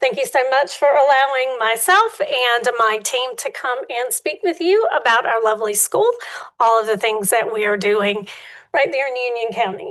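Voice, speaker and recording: A woman's high-pitched voice, moderate pace and lively intonation. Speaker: charter school executive director. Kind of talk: presentation to review board. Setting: public board meeting.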